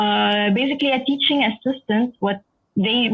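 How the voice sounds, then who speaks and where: This woman talks at a moderate pace with an Arabic accent. Her voice is fairly high and somewhat breathy, with ordinary pitch variation. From Egypt, schooled in the UAE. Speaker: software engineer. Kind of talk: lecture.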